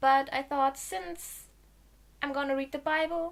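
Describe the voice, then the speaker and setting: The recording is very clean with a silent background. A woman speaks at a high pitch with a German accent. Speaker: video blogger. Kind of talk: casual vlog talk to camera.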